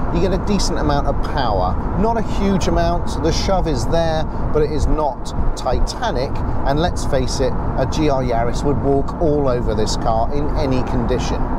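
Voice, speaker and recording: Loud background noise surrounds a man's voice, which is recorded dry with no echo. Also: moderate pace. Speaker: car reviewer. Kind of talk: car review commentary. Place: car. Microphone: lapel.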